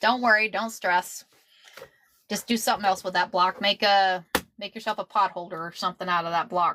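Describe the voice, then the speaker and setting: Someone with an American accent talks fairly quickly with ordinary pitch variation, the sound dry and close with no echo. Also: woman. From Texas. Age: 50s. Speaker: quilter. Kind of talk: live-stream sewing tutorial. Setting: live stream at home. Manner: casual, repetitive.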